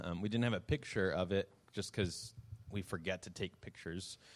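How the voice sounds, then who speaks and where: The speaker has an unremarkable speaking voice. The pace is fairly quick. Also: man. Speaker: youth ministry worker. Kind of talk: ministry update presentation.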